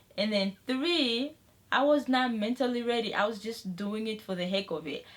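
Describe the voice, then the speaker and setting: A woman with an unremarkable speaking voice talks at a moderate speed, her pitch varying in an ordinary way. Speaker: beauty and lifestyle vlogger. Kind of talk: casual vlog talk to camera.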